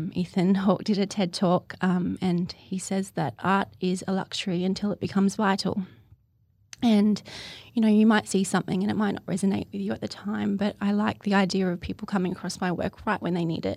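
A woman speaks at a fairly quick pace and medium pitch with fairly even intonation, on a very clean recording with a silent background. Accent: Australian. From Australia. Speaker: poet and artist. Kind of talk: interview, personal testimony. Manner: hesitant, many fillers.

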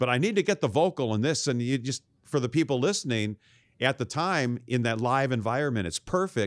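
An unremarkable speaking voice from a man at a medium pitch, fairly quick and with lively intonation, in a dry, close sound with no echo. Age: 60s. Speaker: video producer and cable show host. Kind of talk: casual interview chat. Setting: video call.

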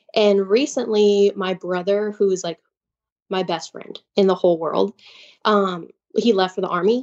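A woman with an American accent talks in an ordinary speaking voice at a medium pitch, her intonation fairly even. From Chicago. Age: 20s. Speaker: caller. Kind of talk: personal story on a call-in show.

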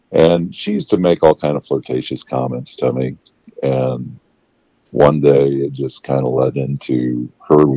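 This man has a very deep, low voice and a fairly slow pace. His intonation stays fairly even. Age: 60s. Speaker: caller sharing sex life story. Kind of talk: casual interview.

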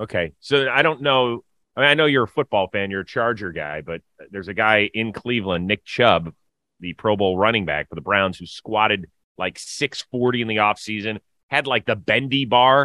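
With a plain, everyday voice, a man talks at a moderate pace and a fairly low pitch. His intonation is lively. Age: middle-aged. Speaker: sports podcast host. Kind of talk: casual chat.

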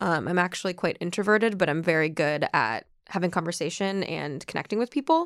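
Speaking with an American accent, a woman with an unremarkable speaking voice and a fairly low pitch talks at a fairly quick pace with lively intonation and hardly any pauses, in a very clean recording with a silent background and a dry, close sound with no echo. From US Midwest, Ohio and Minnesota. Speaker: dating show contestant. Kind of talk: casual chat. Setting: studio.

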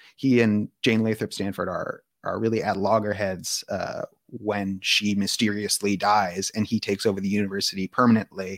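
With a fairly low pitch and fairly even intonation, a man speaks at a moderate pace in a dry, close sound with no echo. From US West Coast (Palo Alto, California). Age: 30s. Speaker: author. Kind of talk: interview.

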